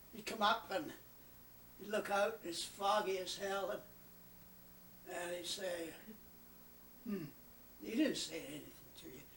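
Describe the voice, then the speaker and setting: A man with a high-pitched, bright, sharp tone speaks at a fairly slow pace, leaving long, frequent pauses. His loudness swings widely and his pitch varies in an ordinary way, with audible room echo around him. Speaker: retired naval officer. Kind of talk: casual storytelling. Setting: family gathering at home. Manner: halting.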